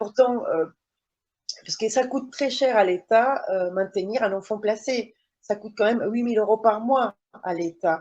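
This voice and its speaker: A woman's fairly high voice with a non-native accent, ordinary pitch variation, and long, frequent pauses. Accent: foreign. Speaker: mother testifying about child placement. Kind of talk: testimony in online interview. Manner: halting, many hesitations.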